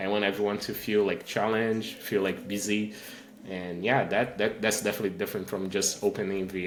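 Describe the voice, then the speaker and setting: Someone with a Portuguese accent talks at a fairly quick pace in a monotone, flat intonation, with audible room echo. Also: man. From Brazil. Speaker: engineering manager and tech speaker. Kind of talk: podcast interview.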